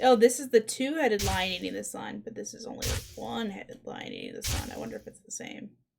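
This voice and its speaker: Barely pausing, a woman talks at a very fast pace with big swings in loudness and music playing in the background. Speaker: streamer. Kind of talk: gameplay commentary.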